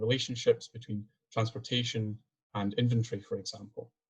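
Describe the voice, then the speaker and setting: A man speaks in a Scottish accent at medium pitch. His voice is somewhat breathy and his pace moderate. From Scotland. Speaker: PhD student and engineer presenting research. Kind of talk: webinar presentation. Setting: video call.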